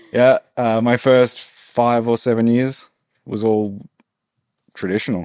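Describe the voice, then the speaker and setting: In an Australian accent, a man speaks at a very slow pace and medium pitch, his intonation monotone and flat, with long, frequent pauses. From Australia, rural Victoria. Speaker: tattoo artist and studio owner. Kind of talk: casual interview chat.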